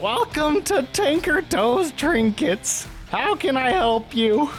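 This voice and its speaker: Clear music sits in the background. A man speaks very slowly in a put-on character voice. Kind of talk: comic character voice. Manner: cheery, bubbly, giggling; shifty when questioned.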